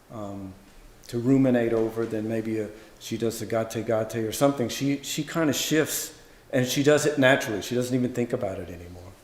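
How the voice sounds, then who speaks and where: In a normal speaking voice, a man with an American accent talks at a fairly quick pace with ordinary pitch variation. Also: medium pitch for a man. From US South, Louisiana. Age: 50s. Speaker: Zen monk and teacher. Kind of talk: dharma talk Q&A. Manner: relaxed, conversational.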